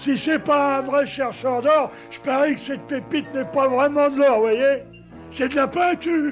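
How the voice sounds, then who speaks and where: A man performs a cartoonish character voice at a moderate pace while clear music plays in the background. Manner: slow, naive.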